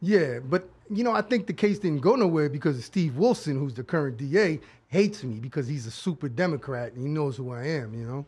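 With a strong New York accent, a man talks at a fairly quick pace in a fairly high pitch, his voice somewhat breathy and swinging very widely in pitch. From Brooklyn, New York. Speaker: producer. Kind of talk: casual chat. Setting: live video show.

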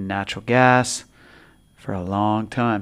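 A man in a Pacific Northwest accent speaks with fairly even intonation over a silent background in a very clean recording. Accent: Pacific Northwest American. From Spokane, Washington. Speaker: podcast co-host. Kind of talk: casual chat.

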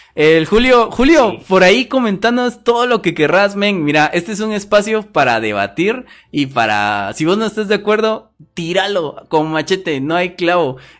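Music plays in the background as a man speaks at a moderate pace. His voice is high in pitch with lively intonation. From Guatemala. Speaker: podcast host. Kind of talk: casual chat. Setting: live stream.

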